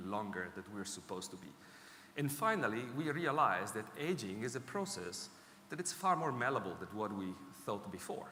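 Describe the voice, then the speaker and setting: In an Italian accent, a man speaks at a moderate pace with very wide pitch swings and audible room echo. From Italy. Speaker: technology executive speaking on healthy ageing. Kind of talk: conference talk. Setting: stage with audience.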